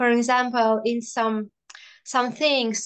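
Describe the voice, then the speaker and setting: A woman speaks with a non-native accent at a fairly high pitch. The background is quiet. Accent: noticeable foreign accent in English. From Russia. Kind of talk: casual video call conversation.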